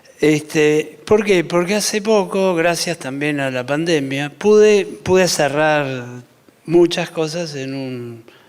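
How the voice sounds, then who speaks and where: A man's fairly high voice, very slow in pace, with ordinary pitch variation over noticeable background noise. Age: 60s. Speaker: architect. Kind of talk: panel talk.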